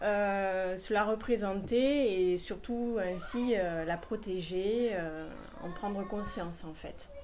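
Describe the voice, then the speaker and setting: Very slowly and at medium pitch, a woman speaks with a slight Toulouse accent. Room echo is audible. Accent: slight southern French (Toulouse). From southern France, Toulouse. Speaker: illustrator, art workshop leader. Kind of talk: interview.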